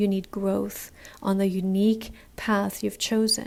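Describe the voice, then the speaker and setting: Her pitch fairly high and her pace fairly slow, a woman with an ordinary speaking voice keeps a fairly even intonation. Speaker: podcast host. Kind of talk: personal podcast monologue. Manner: reflective, warm, conversational.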